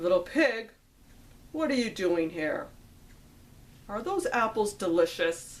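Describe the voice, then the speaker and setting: A woman in a put-on character voice uses a fairly high pitch, a fairly slow pace and long, frequent pauses. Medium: read story. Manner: sly.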